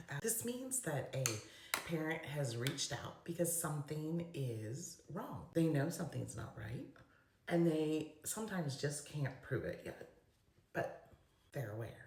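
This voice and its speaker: Over noticeable background noise, a woman with a very deep, low pitch talks at a fairly slow pace, her pitch swinging very widely. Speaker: special education advocate. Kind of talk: casual talk to camera. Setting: bathroom.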